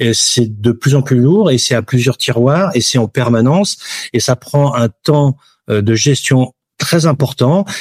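A man speaks very slowly at a medium pitch, somewhat breathy, with ordinary pitch variation and very even loudness. The sound is dry and close, with no echo. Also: very clean recording, silent background. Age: 50s. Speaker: insurance broker. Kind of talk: interview.

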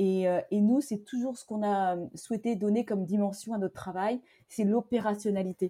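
The voice moves at a moderate pace with fairly even intonation and big swings in loudness, its dark, mellow tone dry and close with no echo. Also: woman, medium pitch for a woman. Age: 40s. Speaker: entrepreneur. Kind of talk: interview conversation.

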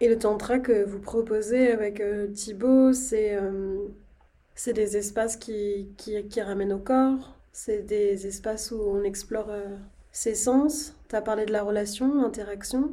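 With audible room echo, a woman speaks at a very slow pace in a dark, mellow tone, her pitch fairly high and her intonation fairly even. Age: 20s. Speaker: podcast host. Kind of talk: casual interview conversation.

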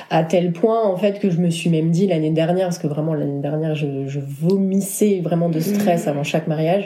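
Against noticeable background noise, a woman talks at a fairly quick pace with hardly any pauses. Her pitch is fairly low and her intonation fairly even. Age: 30s. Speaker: wedding photographer. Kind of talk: casual chat.

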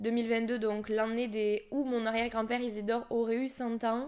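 A woman at fairly high pitch and moderate pace, in a very clean recording with a silent background. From Toulouse area, southern France. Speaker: podcast host, energy healer. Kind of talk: casual monologue.

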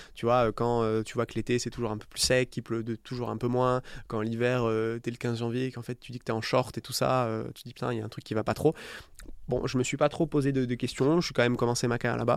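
Delivered at a very fast pace in a monotone, flat intonation, the speech swings widely in loudness on a very clean recording with a silent background. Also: man, medium pitch for a man. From southern France (Istres, near Marseille). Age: 30s. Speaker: startup founder. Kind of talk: interview. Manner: casual.

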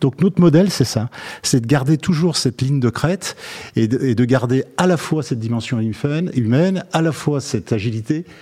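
A man's medium-pitched, somewhat breathy voice with a dark, mellow tone, lively intonation and a moderate pace. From Lyon, France. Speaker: company chairman. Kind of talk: interview. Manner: hesitant, repeats words.

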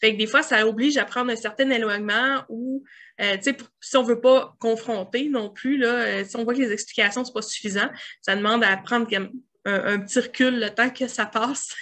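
A woman with a Quebec accent speaks at a moderate pace, her pitch fairly high and her intonation fairly even. Her tone is bright and sharp, against a quiet background. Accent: Québécois French. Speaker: grant consultant. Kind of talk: interview.

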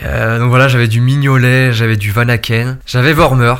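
This man has a medium-pitched voice and a monotone, flat intonation. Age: 20s. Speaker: fantasy football player. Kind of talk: interview. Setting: office.

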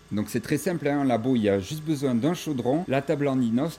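Music plays in the background as a man talks at medium pitch. His pitch varies in an ordinary way. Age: 30s. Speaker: shepherd and cheese farmer. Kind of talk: guided farm tour.

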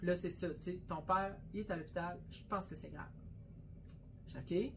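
Audible room echo surrounds a woman whose fairly low voice carries vocal fry. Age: 50s. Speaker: butcher shop owner and podcast co-host. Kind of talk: casual chat.

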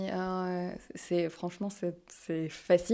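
Over a silent background in a very clean recording, a woman speaks at a medium pitch with a dark, mellow tone. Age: 20s. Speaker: podcast guest. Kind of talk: casual interview. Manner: hesitant.

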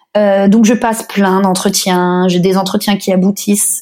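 A woman's somewhat breathy voice moves along at a fairly slow pace. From France, Paris. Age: 30s. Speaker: blogger and podcaster, expatriate. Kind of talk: interview.

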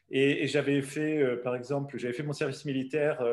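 A man talks in a medium pitch. It rises and falls in an ordinary way. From southern France. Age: 60s. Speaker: travel company founder. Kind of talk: interview. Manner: halting.

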